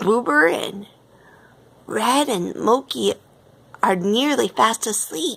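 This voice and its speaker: Using a put-on character voice at medium pitch, a woman speaks at a very slow pace. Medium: read story. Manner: excitable.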